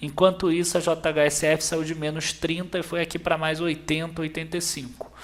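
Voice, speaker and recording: At a fairly slow pace, a man with a high pitch speaks over noticeable background noise. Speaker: investment channel host. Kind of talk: tutorial.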